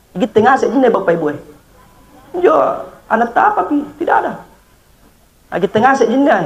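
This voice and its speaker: A man speaks over noticeable background noise. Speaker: Islamic preacher. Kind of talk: funeral sermon.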